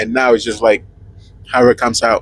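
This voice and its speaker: The voice, in a Spanish accent, has a dry, close sound with no echo. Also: man. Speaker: truck driver podcast co-host. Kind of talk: casual chat. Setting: inside a truck cab.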